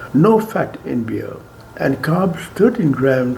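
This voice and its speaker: At a very slow pace, a man talks amid audible room echo and noticeable background noise. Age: 90s. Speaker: doctor. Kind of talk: health talk.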